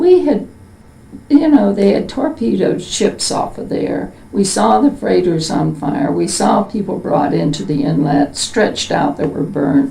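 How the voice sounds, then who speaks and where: A woman with an American accent speaks at a fairly slow pace against noticeable background noise. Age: 70s. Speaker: interviewee, World War II eyewitness. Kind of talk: oral history interview. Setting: interviewer's home. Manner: halting, many fillers.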